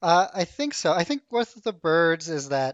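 A high-pitched man with lively intonation, in a Canadian accent. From Canada, Ottawa. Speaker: cartoonist and illustrator. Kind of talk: interview. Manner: halting, many fillers.

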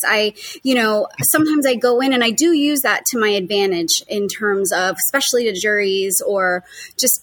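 A woman talks at a medium pitch with a fairly bright tone and ordinary pitch variation.

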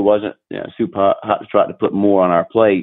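Here a man talks with an American accent at a fairly quick pace. His pitch is fairly low and his intonation monotone and flat. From North Carolina. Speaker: retired business owner, former Marine. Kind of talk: interview.

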